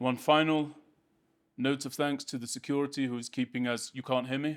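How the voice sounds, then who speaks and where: Speaking with a British accent, a man keeps a medium pitch and fairly even intonation. His pace is fairly quick. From United Kingdom. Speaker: speaker at a public advocacy event. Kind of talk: public address. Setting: podium in community centre hall with audience. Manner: formal.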